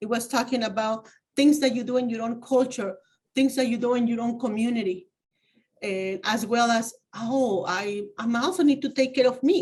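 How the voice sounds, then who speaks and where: Speaking in a Spanish accent, a woman moves at a moderate pace with a high pitch and ordinary pitch variation. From Mexico, Oaxaca. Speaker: community advocate. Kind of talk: interview. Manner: halting.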